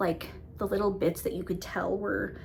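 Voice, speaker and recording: In a room with audible echo, a woman mumbles at a moderate pace in a fairly low voice with vocal fry. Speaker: book reviewer. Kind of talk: casual monthly book review vlog. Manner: mumbling, self-admitted; casual with many fillers.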